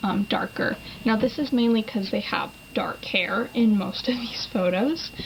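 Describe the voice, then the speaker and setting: Noticeable background noise runs under a woman speaking at a fairly high pitch. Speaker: beauty vlogger. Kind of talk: tutorial. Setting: home, at vanity. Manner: casual, chatty.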